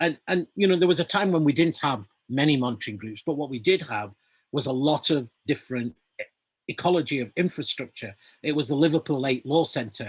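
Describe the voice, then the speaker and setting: In a Lancashire accent, a man with a fairly high pitch speaks at a fairly quick pace with lively intonation, the sound dry and close with no echo. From northern England, Lancashire (Burnley). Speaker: activist and campaigner. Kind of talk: panel discussion.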